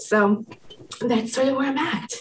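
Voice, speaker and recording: Over noticeable background noise, a woman in an American accent talks with ordinary pitch variation. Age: 30s. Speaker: psychotherapist. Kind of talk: interview.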